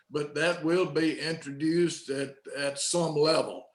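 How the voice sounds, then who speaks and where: A man with a Southern US accent speaks very slowly in a fairly high, monotone voice with flat intonation. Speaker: state senator. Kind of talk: policy briefing. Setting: video call.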